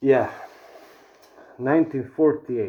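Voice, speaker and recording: A man speaks with a non-native accent. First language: not English. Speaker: vlogger. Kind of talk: casual commentary to camera. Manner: slower than usual; stuttering, halting.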